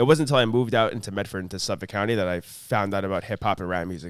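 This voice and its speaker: A man with an American accent, fairly low pitch and ordinary pitch variation, at a very fast pace. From Long Island, New York. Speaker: rapper and producer. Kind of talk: casual interview.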